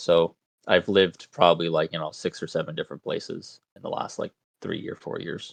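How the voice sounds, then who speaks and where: A man with an American accent talks at a fairly quick pace, with big swings in loudness. The sound is dry and close, with no echo. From US East Coast, rural small town. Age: 20s. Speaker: game designer. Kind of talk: interview. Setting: live stream.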